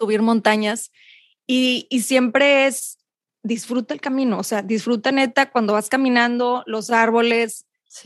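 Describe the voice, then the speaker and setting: With a normal speaking voice, a woman speaks at a moderate pace and fairly high pitch with fairly even intonation, over a quiet background in a dry, close sound with no echo. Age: 30s. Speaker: meditation coach. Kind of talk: interview.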